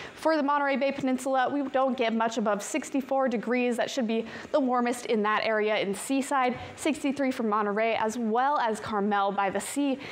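A woman with a high pitch talks in an upbeat tone at a moderate pace, with ordinary pitch variation and hardly any pauses. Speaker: TV weather forecaster. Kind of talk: weather report. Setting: TV studio. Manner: upbeat, brisk, conversational; clear, polished broadcast delivery. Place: studio.

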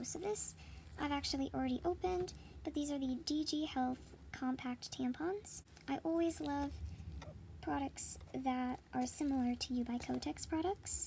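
Over light background noise, a woman talks at a moderate pace with very even loudness and long, frequent pauses. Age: young. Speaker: product reviewer. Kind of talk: product unboxing talk to camera. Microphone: phone near.

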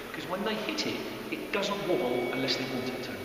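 A man talking at a fairly quick pace amid loud background noise and audible room echo. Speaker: squash coach. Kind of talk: tutorial. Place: hall. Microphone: camera far.

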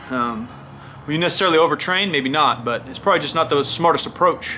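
At a fairly quick pace, a man speaks at a high pitch with ordinary pitch variation over light background noise. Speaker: fitness coach vlogger. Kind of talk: casual vlog commentary. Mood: opinionated, emphatic. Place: studio.

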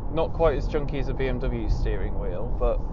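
A man's voice at a moderate pace, dry with no echo, over noticeable background noise. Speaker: car reviewer. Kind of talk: car review commentary. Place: car.

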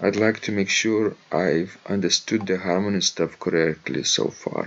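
Pitch varies in an ordinary way as a man talks at a fairly slow pace. His voice is fairly low with a fairly bright tone.

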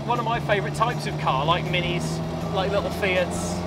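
A man's voice with ordinary pitch variation, dry with no echo, over music in the background. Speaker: car reviewer. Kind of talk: casual road-test commentary. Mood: cheerful, enthusiastic. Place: car. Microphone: lapel.

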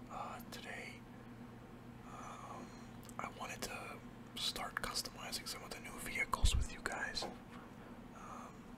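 A man whispers at a very slow pace with long, frequent pauses. His loudness swings widely. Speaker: ASMR gaming YouTuber. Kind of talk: casual talk to camera while gaming. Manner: soft-spoken, relaxed, hesitant.

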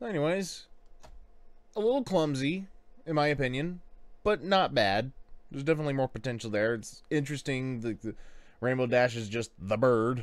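At a moderate pace, a man speaks. He leaves long, frequent pauses. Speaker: reaction video host. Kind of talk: casual commentary. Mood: relaxed, amused. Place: home room. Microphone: studio mic.

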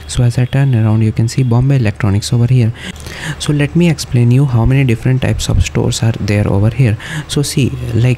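Over light background noise, a man talks at a very fast pace with ordinary pitch variation. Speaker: travel vlogger. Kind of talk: casual vlog chat. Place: street. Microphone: phone near.

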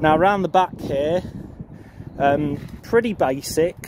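A man at a very slow pace, dark and mellow in tone, dry with no echo, over light background noise. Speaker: farmer showing his tractor. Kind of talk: casual vlog walkaround commentary. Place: farm machine. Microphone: phone near.

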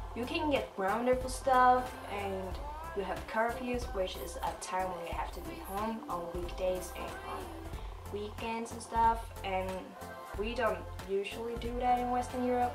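The speech moves at a moderate pace with clear music in the background. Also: woman. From Sweden. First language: Swedish. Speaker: exchange student. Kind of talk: casual talk to camera. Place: home room. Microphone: camera far.

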